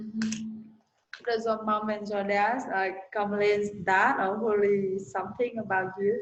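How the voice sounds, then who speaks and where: A woman speaks with a non-native accent at a fairly slow pace. Her intonation is flat and monotone, and the room echo is audible. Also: medium pitch for a woman. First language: not English. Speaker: language learner. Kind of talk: casual chat.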